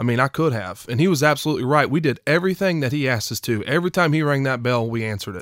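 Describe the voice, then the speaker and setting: With an East Tennessee accent, a man talks at a very fast pace. The recording is very clean, with a silent background. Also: fairly high pitch for a man, lively intonation, hardly any pauses. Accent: East Tennessee Southern US. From East Tennessee (Knoxville). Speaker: former college football player. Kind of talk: casual interview.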